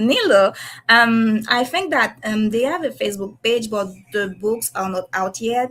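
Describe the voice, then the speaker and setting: A woman with a non-native accent talks at a fairly slow pace in a fairly high pitch. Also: ordinary pitch variation. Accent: non-native English, self-described shaky. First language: French / Haitian Creole. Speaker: comic illustrator. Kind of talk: casual chat. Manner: halting, many hesitations and self-corrections.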